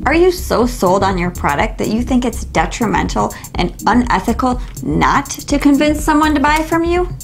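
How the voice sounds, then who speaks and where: A woman at a moderate pace over faint background music. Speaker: book reviewer. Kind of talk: book review monologue. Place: shop. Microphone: lapel.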